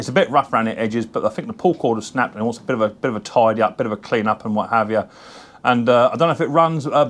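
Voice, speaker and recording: His pitch varies in an ordinary way while he talks very fast. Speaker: mower repair channel host. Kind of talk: casual vlog chat. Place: workshop. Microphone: camera far.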